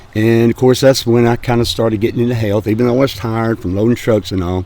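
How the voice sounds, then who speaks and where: A man with an American accent talks at a fairly quick pace over noticeable background noise. His pitch is medium and his intonation fairly even. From Birmingham, Alabama. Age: 70s. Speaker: grocery business owner. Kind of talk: interview. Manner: halting, many fillers.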